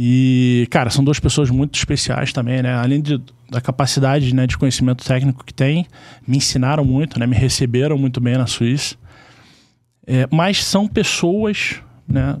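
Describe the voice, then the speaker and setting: An unremarkable speaking voice belongs to a man with a medium pitch. He moves at a moderate pace with ordinary pitch variation. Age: 40s. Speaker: insurance sales executive, former corporate banker. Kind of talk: casual chat.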